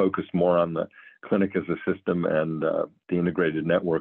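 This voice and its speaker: A man with a Midwestern American accent speaks at a moderate pace. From US Midwest, Cleveland, Ohio. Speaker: physician and health plan executive. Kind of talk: interview.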